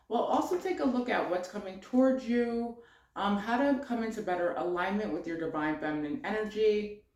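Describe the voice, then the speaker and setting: Lively intonation with audible room echo. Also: woman. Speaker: tarot reader. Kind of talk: spiritual card reading. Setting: home office. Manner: many filler words, um and uh.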